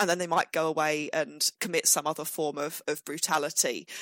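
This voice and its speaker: Fairly quick speech from a woman with a fairly low pitch and an unremarkable speaking voice. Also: dry, close sound with no echo. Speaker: history professor. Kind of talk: interview storytelling.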